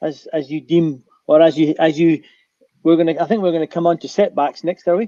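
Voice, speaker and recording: With a Scottish accent, a man talks at a very fast pace in a high-pitched voice with a dark, mellow tone. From Scotland. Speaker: aviation pilot and adventurer. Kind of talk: panel discussion. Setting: online conference stage.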